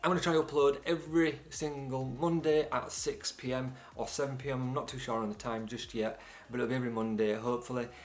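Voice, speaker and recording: The speaker has a British accent and an energetic tone. Words come at a very fast pace with ordinary pitch variation. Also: man, medium pitch for a man. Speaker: videographer and photographer, YouTuber. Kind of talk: channel intro vlog. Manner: casual, energetic.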